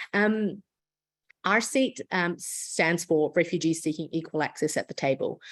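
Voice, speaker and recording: Against a quiet background, a woman with a New Zealand accent talks at a fairly slow pace, her pitch fairly low and her loudness very even. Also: ordinary pitch variation. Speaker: international lawyer and refugee advocate. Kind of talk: lecture. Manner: frequent filler words and self-corrections.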